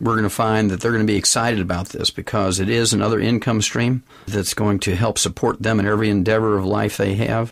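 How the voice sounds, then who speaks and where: Fairly quick and fairly low-pitched, a man speaks with fairly even intonation in an unremarkable speaking voice. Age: 60s. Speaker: nutrition doctor and network marketing executive. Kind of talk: business interview conversation.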